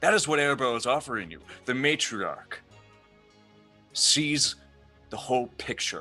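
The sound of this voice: A man's gravelly put-on character voice, bright and sharp in tone, with lively intonation and faint music in the background. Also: medium pitch for a man, fairly slow pace.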